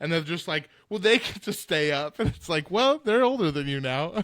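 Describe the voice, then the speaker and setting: A man talks at a fairly quick pace with lively intonation in a very clean recording with a silent background. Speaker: podcast co-host. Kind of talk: casual chat. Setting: podcast recording.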